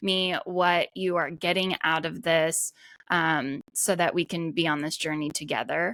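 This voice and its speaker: In a very clean recording with a silent background and a dry, close sound with no echo, a woman talks at a fairly slow pace. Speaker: podcast host. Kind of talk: solo podcast talk. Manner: animated.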